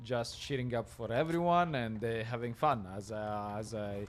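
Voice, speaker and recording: The speaker has an Italian accent. Their pace is fairly slow. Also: man. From Italy. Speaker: esports co-caster. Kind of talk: live esports commentary. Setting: LAN event with live crowd.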